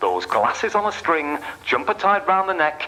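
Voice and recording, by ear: Speaking at a fairly slow pace, a man uses a put-on character voice with big pitch swings and a fairly high pitch. The tone is bright and sharp, with faint background noise.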